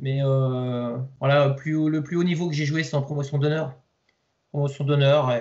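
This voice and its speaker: A man with a fairly high pitch speaks at a fairly slow pace in a flat monotone. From Lower Normandy, France. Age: 40s. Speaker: youth football coach. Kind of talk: interview. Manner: halting, many fillers and repetitions.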